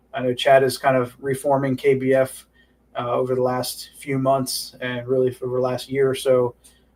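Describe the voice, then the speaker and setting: This is a man with a medium pitch. He delivers his words in a flat monotone. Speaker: club director hosting a town hall livestream. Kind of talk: informal livestream town hall. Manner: fast; casual with many filler words.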